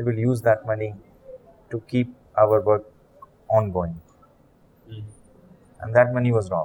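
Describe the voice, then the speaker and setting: A man in a Pakistani accent, fairly low-pitched, with fairly even intonation, big swings in loudness, a moderate pace and long, frequent pauses. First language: Urdu. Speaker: charity leader. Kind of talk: interview. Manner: halting.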